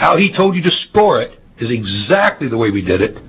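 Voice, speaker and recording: A man speaks with vocal fry and very wide pitch swings. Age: 70s. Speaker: orthodontist testifying at a legislative hearing. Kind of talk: testimony. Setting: legislative committee hearing. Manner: formal.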